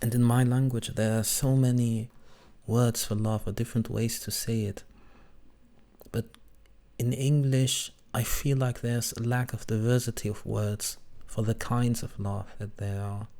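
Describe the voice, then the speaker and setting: A non-native accent with a dark, mellow tone, monotone, flat intonation, a moderate pace and long, frequent pauses. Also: man, medium pitch for a man. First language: not English. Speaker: VTuber reacting to old videos. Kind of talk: reaction commentary.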